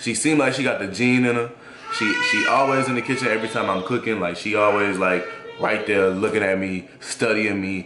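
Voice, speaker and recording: With ordinary pitch variation and a moderate pace, a man's voice comes through noticeable background noise. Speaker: father vlogger. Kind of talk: casual vlog chat. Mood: relaxed and cheerful. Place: kitchen. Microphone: phone near.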